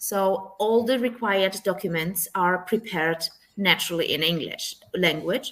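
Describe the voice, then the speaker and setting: The speaker is a woman. Her pitch is medium, with ordinary pitch variation. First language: not English. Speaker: tax professional. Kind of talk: webinar interview.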